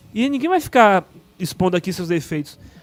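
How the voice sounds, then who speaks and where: Over music in the background, a man speaks at a high pitch and a fairly quick pace with very wide pitch swings. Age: 30s. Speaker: mayor. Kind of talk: podcast interview. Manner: fast.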